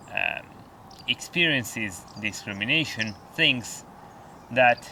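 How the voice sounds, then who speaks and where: A man speaks very slowly with an Italian accent. His pitch varies in an ordinary way. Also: medium pitch for a man. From Italy. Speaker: outdoor vlogger. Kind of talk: vlog monologue. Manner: halting.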